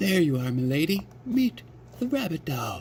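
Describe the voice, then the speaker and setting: A man's put-on character voice at a fairly high pitch, with very wide pitch swings and a moderate pace, over clear background noise. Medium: read story.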